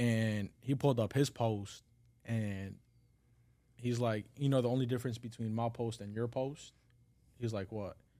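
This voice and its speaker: A man speaks at a medium pitch in a dark, mellow tone. He uses fairly even intonation and takes long, frequent pauses. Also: moderate pace, very clean recording, silent background. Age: 20s. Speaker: barber. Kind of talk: casual chat.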